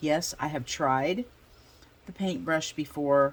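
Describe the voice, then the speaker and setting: Lively intonation from a female speaker. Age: 60s. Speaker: art journaling YouTuber. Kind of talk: casual craft tutorial.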